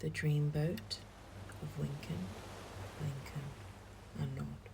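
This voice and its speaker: Soft-spoken with a soothing tone, a woman talks at a very slow pace with a very deep, low pitch and very wide pitch swings. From London. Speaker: parent. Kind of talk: sleep story. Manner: slow, soothing.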